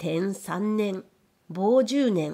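A woman's medium-pitched voice with a dark, mellow tone and ordinary pitch variation. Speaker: audiobook narrator. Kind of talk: literary audiobook reading.

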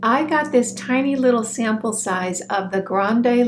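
At a moderate pace, a woman with a warm tone speaks with ordinary pitch variation over light background noise. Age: 60s. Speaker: beauty vlogger. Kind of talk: monologue video, product review. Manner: warm, friendly. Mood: frank, relaxed.

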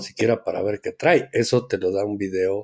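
A man speaks at a moderate pace in a normal speaking voice with ordinary pitch variation. The recording is very clean, with a silent background. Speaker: board game podcast co-host. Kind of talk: casual chat.

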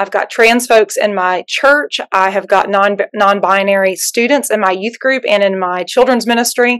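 A woman speaks with a Southern US accent at a moderate pace, with hardly any pauses. Her pitch variation is ordinary and the background quiet. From Alabama, US South. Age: middle-aged. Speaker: pastor. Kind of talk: panel discussion. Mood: earnest, reflective. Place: home room. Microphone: video call.

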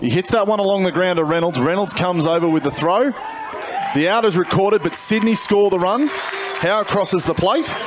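Amid crowd noise in the background, a man with an Australian accent speaks at a fairly quick pace, high in pitch with ordinary pitch variation. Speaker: baseball commentator. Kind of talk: live sports commentary. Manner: fluent play-by-play, brisk and descriptive.

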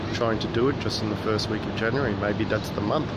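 Loud background noise surrounds a man whose voice is dry, with no echo. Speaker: vlogger. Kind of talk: casual vlog chat, reflective musing. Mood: reflective, calm. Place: waterside. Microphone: phone near.

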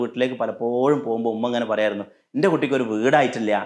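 Against a quiet background, a man's pitch rises and falls in an ordinary way. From Kerala. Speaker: leadership coach. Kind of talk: motivational talk to camera. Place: home room. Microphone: lapel.

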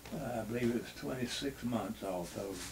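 There is noticeable background noise as a man talks with an American accent. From North Carolina. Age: 80s+. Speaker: retired baseball pitcher and war veteran. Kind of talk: interview answer. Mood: reflective, reminiscing. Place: home room.

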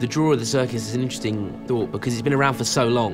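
Music can be heard behind the voice. Its intonation rises and falls in a lively way. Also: man. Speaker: circus ringmaster. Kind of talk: interview answer.

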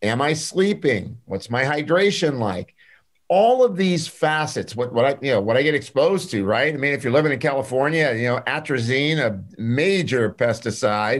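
Over a quiet background, a man with a fairly high pitch talks at a moderate pace with lively intonation. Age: 60s. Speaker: clinical pharmacist and nutritionist; podcast guest. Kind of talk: interview. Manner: animated. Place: office. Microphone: video call.

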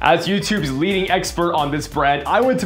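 At a moderate pace, a man talks over clear music in the background. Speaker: travel agent channel host. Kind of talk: casual vlog chat.

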